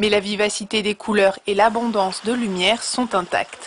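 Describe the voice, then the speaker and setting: A woman with a fairly high pitch speaks at a moderate pace against noticeable background noise. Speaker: TV news reporter. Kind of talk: TV news report narration.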